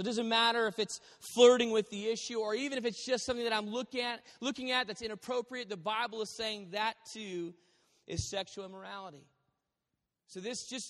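A man with an American accent has a high pitch. He speaks at a fairly quick pace. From Texas. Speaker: pastor. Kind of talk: sermon to a live congregation, preacher's fervent, persuasive, exhorting delivery. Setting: church.

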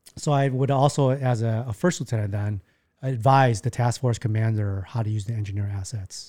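A somewhat breathy man with an American accent, medium pitch, ordinary pitch variation and a fairly quick pace. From US Midwest, Chicago. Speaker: army veteran. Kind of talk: casual chat.

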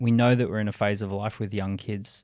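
A man of medium pitch is heard on a very clean recording with a silent background. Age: 40s. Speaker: entrepreneur and company founder. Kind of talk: interview.

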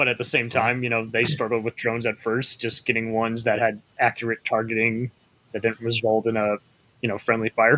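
This man's voice sits at a medium pitch and has a bright, sharp tone. The sound is dry and close, with no echo. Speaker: podcast host. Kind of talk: casual panel discussion.

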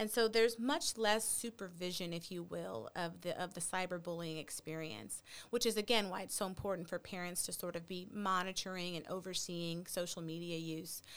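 With an American accent and a plain, everyday voice, a woman speaks at a fairly low pitch and a moderate pace with ordinary pitch variation and hardly any pauses, in a very clean recording with a silent background. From Texas. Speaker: pediatric psychologist. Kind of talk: interview. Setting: podcast studio.

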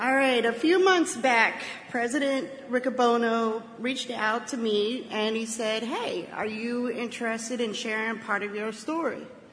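With noticeable background noise behind her, a woman speaks at a fairly slow pace in a fairly high pitch. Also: ordinary pitch variation. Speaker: convention speaker. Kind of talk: speech.

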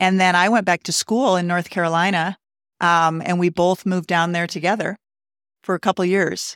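In a very clean recording with a silent background and a dry, close sound with no echo, a woman with an American accent uses a plain, everyday voice at a fairly low pitch, moderate pace and fairly even intonation. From Montana. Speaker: physician assistant in mental health. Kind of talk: casual interview chat.

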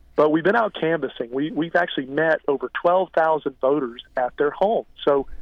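In an American accent, a man talks at a moderate pace in an ordinary speaking voice, fairly high in pitch with ordinary pitch variation. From Florida, Marion County. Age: 40s. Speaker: political candidate. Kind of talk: radio interview.

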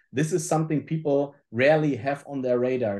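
A man with a German accent, a fairly high pitch, a dark, mellow tone, fairly even intonation and a moderate pace, over a quiet background. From Germany. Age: 40s. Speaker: supply chain consultant. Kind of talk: interview. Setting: home office.

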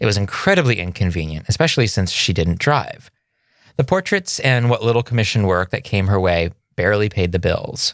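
A plain, everyday voice from a man, fairly low in pitch, fairly quick and lively, on a very clean recording with a silent background. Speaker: podcast co-host, film photographer. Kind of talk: casual chat with scripted narration segments. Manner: jokey, irreverent.

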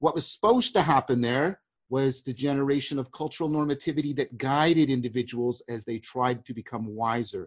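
With a plain, everyday voice, a man talks at a fairly quick pace in a medium pitch, using ordinary pitch variation over a quiet background. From Canada. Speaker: cognitive science professor. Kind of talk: intellectual discussion.

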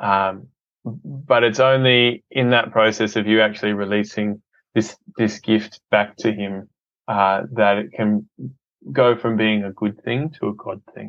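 A fairly low male voice with an Australian accent, fairly slow in pace, with ordinary pitch variation. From Australia, Adelaide. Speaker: filmmaker and ministry entrepreneur. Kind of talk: casual interview.

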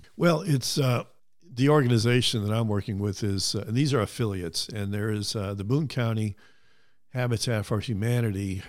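Moderate pace and fairly low pitch from a man with a Midwestern American accent, ordinary pitch variation, and a very clean recording with a silent background. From US Midwest (Cleveland, Ohio). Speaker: retired construction project manager. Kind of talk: casual interview.

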